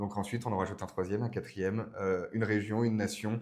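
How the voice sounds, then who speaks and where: Fairly even in intonation, the delivery runs at a rather quick clip. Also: man. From France, Burgundy. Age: 20s. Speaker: political speechwriter. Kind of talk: podcast interview. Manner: hesitant, many fillers.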